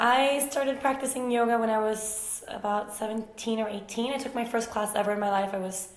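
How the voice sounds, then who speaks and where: A woman with a Swedish accent speaks at a fairly high pitch with fairly even intonation, amid noticeable background noise and audible room echo. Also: fairly quick pace, hardly any pauses. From Sweden, Uppsala and Stockholm. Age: 20s. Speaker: yoga teacher. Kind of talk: casual Q&A vlog.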